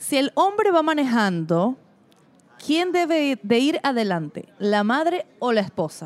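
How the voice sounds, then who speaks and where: A woman's high voice at a fairly slow pace with very wide pitch swings. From Venezuela, Mérida. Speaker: podcast co-host and producer. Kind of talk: casual chat. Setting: food park.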